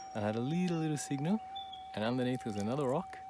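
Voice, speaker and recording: A man with an Australian accent, amid noticeable background noise and audible room echo. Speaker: gold prospector, channel co-host. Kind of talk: casual chat while metal detecting.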